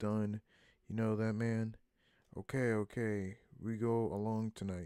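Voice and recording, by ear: Reading aloud in a natural voice, the speaker goes through the text.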